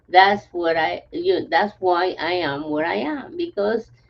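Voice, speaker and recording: Her intonation rises and falls in a lively way. The woman talks at a very slow pace. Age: 70s. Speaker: health testimonial guest. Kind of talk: casual interview.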